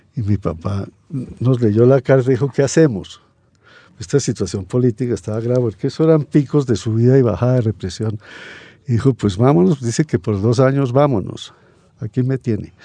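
Recorded dry and close with no echo, a man speaks at a fairly quick pace in a medium pitch with ordinary pitch variation and a dark, mellow tone. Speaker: writer and sociologist. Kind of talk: radio interview, casual chat.

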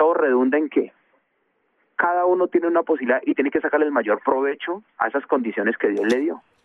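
This man has a fairly high voice with ordinary pitch variation. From Colombia, Bogotá (born in Chocó). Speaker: former footballer and coach. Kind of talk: radio interview. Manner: halting, with repetitions.

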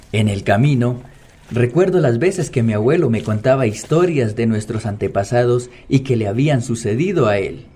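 A man talks at a moderate pace and medium pitch in a somewhat breathy, dark, mellow tone with lively intonation. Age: young. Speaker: podcast narrator. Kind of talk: scripted narration.

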